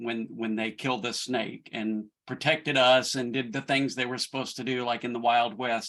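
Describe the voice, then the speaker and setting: A man with a Southern accent speaks at a medium pitch with a bright, sharp tone. His intonation is monotone and flat, with hardly any pauses. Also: moderate pace. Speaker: church leadership director. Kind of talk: personal storytelling.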